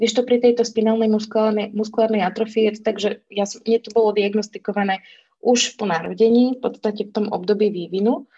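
Somewhat breathy and fairly high, a woman's voice moves at a fairly quick pace with flat, monotone intonation. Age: 30s. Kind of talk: casual chat.

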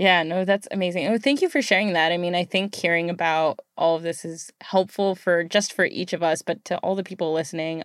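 A woman with an American accent talks at a fairly quick pace in an ordinary speaking voice, her fairly low pitch and fairly even intonation captured in a very clean recording with a silent background. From United States. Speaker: podcast host. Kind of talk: casual interview.

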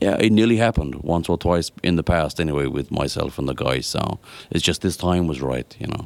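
This is a man speaking with an Irish accent. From Ireland. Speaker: singer and musician. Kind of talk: interview. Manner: halting.

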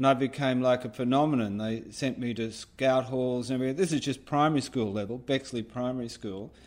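The speaker is a man with an Australian accent. His intonation is fairly even. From Australia, Sydney (Rockdale). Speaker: artist and filmmaker. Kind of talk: interview. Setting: remote call.

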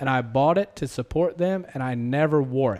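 A man speaks with a slight Southern US accent at a moderate pace. His fairly high voice has a dark, mellow tone and ordinary pitch variation. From US South. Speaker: podcast host. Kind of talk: casual interview.

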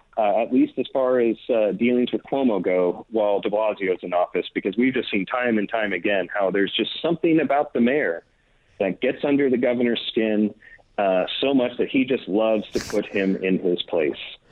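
This is an ordinary speaking voice with an American accent, at a moderate pace. The loudness stays very even, and the pitch varies an ordinary amount. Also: man, medium pitch for a man. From Northern California. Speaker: political journalist. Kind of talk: interview.

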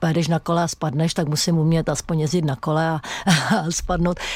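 A woman speaks fairly quickly in a plain, everyday voice, fairly low in pitch, with fairly even intonation. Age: 60s. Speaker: fitness instructor and stuntwoman. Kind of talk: radio interview.

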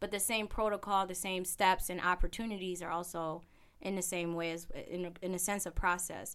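In a very clean recording with a silent background, a woman uses an ordinary speaking voice at medium pitch with fairly even intonation. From immigrant family, raised in US. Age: 30s. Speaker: real estate investor and author. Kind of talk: interview.

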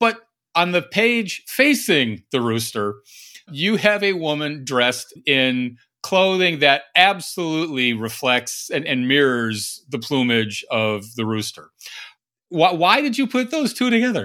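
A man's fairly high voice, with a bright, sharp tone and a warm, enthusiastic tone, moves slowly through very wide pitch swings in a very clean recording with a silent background. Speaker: podcast interviewer. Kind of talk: casual interview.

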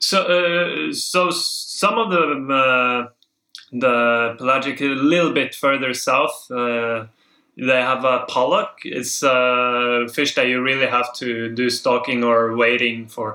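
With a Norwegian accent and a bright, sharp tone, a man speaks at a very slow pace, his medium pitch showing ordinary variation. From southern Norway. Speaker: spearfisher. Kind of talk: casual chat.

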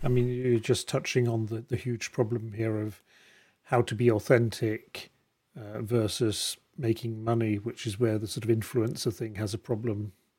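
A man's dark, mellow, somewhat breathy voice moves with fairly even intonation in a very clean recording with a silent background. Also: medium pitch for a man, moderate pace. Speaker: podcast host. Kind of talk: casual interview.

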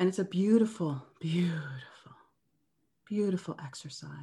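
Over a quiet background, a woman with a Canadian accent speaks in a somewhat breathy voice. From Canada. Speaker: anti-bias facilitator. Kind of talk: interview.

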